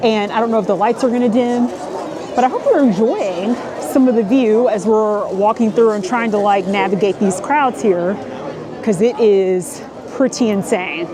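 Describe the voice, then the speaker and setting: A woman's fairly high voice with ordinary pitch variation at a moderate pace, audible room echo and crowd noise in the background. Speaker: travel and food vlogger. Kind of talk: casual vlog walk-through. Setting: outdoors in a crowded theme park. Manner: animated.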